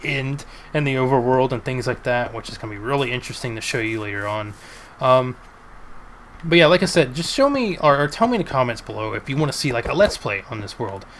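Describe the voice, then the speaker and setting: Big swings in loudness mark this man's fairly quick delivery, set at a medium pitch with ordinary pitch variation. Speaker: gaming YouTuber. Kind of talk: gameplay commentary. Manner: halting, stumbles on words; casual with many fillers.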